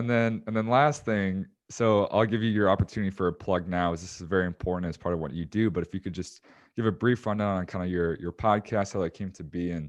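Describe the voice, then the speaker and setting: A man with an American accent talks at a very fast pace in a very deep, low pitch. His pitch variation is ordinary, and the background is quiet. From Chicago, US Midwest. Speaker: podcast host. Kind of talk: podcast interview.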